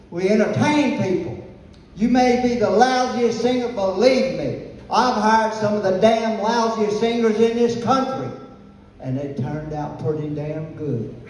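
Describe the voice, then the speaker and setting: With an American accent, a man talks in an animated tone at a fairly slow pace, his high pitch and lively intonation set against noticeable background noise and audible room echo. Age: 70s. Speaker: music venue owner, war veteran. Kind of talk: speech to audience.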